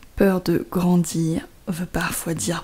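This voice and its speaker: Very slowly and somewhat breathily, a woman talks at a fairly low pitch with fairly even intonation. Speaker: poet reading her own poem. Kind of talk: poetry reading.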